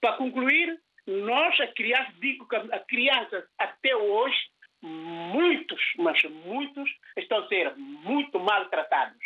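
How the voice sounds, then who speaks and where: A man speaks very slowly at an extremely high pitch, his voice swinging very widely up and down. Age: 60s. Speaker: radio caller, father of five. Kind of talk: phone-in opinion.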